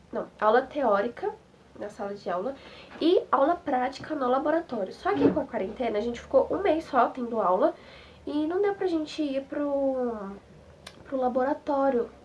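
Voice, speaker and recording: Through noticeable background noise, a woman talks at a moderate pace with a high pitch and lively intonation. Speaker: nursing technician student. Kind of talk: casual vlog talk to camera. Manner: mumbled, slurred.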